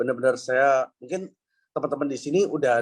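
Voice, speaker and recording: A man talks at a very fast pace with fairly even intonation. His pitch is fairly high. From Indonesia, Semarang (Central Java). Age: 30s. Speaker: network marketing speaker. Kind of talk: live interview testimony. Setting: live online event with audience. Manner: hesitant, many fillers.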